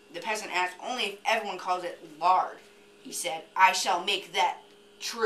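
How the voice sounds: A natural reading voice carries fairly even intonation.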